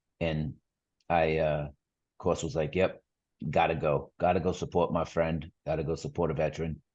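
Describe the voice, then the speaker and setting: In a Boston accent, a man speaks at a moderate pace with a very deep, low pitch. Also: fairly even intonation, quiet background. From Boston area, Massachusetts. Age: 40s. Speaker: amputee sharing his story. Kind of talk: podcast interview, personal story.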